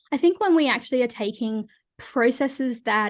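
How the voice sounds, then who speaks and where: The speaker has an Australian accent and a fairly slow pace. The background is quiet. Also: woman. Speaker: change leadership consultant and coach. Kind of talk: podcast interview.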